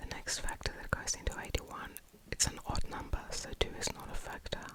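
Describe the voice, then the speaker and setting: Whispering at a moderate pace, a woman speaks over noticeable background noise. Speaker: math teacher / tutor. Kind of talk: ASMR math lesson. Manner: whispered, soft-spoken.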